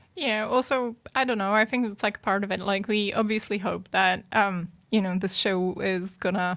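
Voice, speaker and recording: A woman's moderate-paced, medium-pitched, flat monotone speech in a non-native accent, on a very clean recording with a silent background. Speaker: history podcast co-host. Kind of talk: casual chat.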